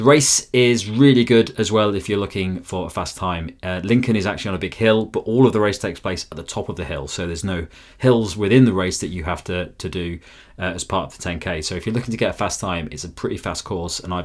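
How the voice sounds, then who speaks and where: Against a quiet background, a man speaks at a fairly quick pace in a very deep, low pitch with ordinary pitch variation. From Lincolnshire, England. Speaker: running reviewer. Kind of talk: video review. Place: home room.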